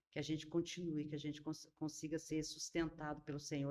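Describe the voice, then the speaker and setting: The woman's voice is very deep and low in pitch, with a dark, mellow tone. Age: 60s. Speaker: pastor. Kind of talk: casual chat.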